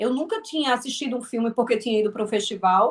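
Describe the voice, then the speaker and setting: The pace is very fast. The intonation is lively. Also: woman. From Northeast Brazil (Alagoas). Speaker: filmmaker and actress. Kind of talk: interview. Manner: halting, many repetitions.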